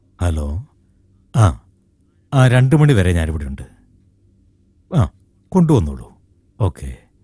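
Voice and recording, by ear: Putting on a character voice, a man speaks slowly at a low pitch with big pitch swings, his tone dark and mellow with a slightly husky edge.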